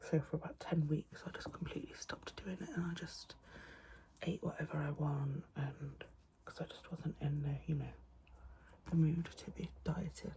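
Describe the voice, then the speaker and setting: A soft-spoken woman is heard over noticeable background noise. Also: moderate pace. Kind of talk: casual talk to camera. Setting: home, window open, quiet room. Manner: soft-spoken, rambling.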